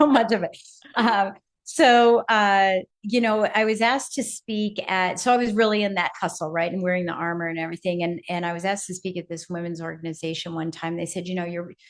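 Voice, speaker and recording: Against a quiet background, a woman with an ordinary speaking voice talks at a fairly quick pace and a medium pitch, with ordinary pitch variation. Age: 60s. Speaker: speaker and business coach. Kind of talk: podcast interview, personal storytelling. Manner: conversational with many fillers.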